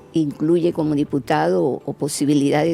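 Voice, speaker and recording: A woman speaks at a moderate pace. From Cuba. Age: 70s. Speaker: doctor and scientist. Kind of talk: interview testimony.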